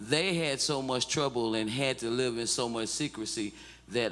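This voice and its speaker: In a Mississippi accent, a man speaks at a medium pitch. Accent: US Southern (Mississippi). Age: 60s. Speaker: civil rights activist. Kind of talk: testimony. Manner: halting, repetitive.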